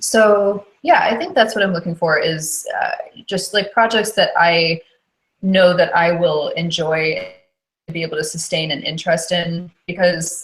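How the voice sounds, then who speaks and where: A woman speaks at a fairly slow pace with a fairly low pitch. Her voice is somewhat breathy and has ordinary pitch variation. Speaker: audiobook narrator. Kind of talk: podcast interview answer.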